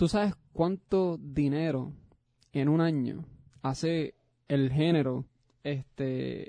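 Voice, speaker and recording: A man's fairly high, dark and mellow voice at a very slow pace, with fairly even intonation, long, frequent pauses, and a dry, close sound with no echo. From Puerto Rico. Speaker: podcast co-host. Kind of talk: casual chat.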